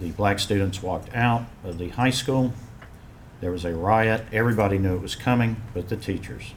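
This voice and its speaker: A man with a strong Western North Carolina accent speaks with fairly even intonation amid audible room echo. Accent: strong Western North Carolina Southern. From Western North Carolina (Asheville). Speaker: fraternity alumnus speaking at memorial. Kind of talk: personal testimony at memorial ceremony.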